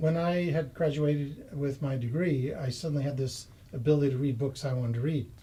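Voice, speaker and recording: Speaking with an American accent at a fairly quick pace, a man has a fairly high pitch, a somewhat breathy, dark, mellow tone and fairly even intonation. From US, Massachusetts. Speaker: property investor and software engineer. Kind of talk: interview.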